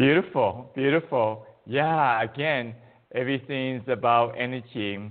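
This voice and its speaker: A man speaks with a Chinese accent at a fairly slow pace. His pitch varies in an ordinary way. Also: medium pitch for a man. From China. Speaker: qigong teacher. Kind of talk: interview.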